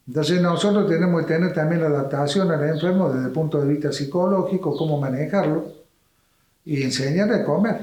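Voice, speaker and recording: In a dark, mellow, somewhat breathy tone, a man speaks fairly quickly at a fairly high pitch, with audible room echo. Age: 80s+. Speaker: doctor. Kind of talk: interview.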